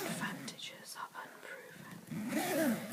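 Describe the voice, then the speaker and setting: Whispering over noticeable background noise. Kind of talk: ASMR whispered reading. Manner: whispered; soft-spoken.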